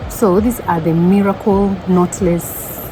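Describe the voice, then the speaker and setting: A woman with a fairly low pitch, against noticeable background noise. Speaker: vlogger. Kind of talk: casual vlog. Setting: restaurant. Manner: loud.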